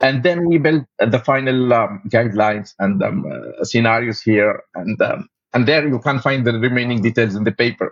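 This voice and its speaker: With an Arabic accent, a man talks at a moderate pace using lively intonation. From Tunisia. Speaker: paramedic and researcher. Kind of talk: interview conversation. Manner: halting, frequent fillers and self-corrections.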